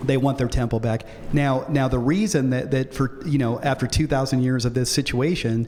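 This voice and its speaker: A man of medium pitch at a fairly quick pace, with noticeable background noise. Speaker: pastor. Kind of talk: lecture. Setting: church. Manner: fast; animated.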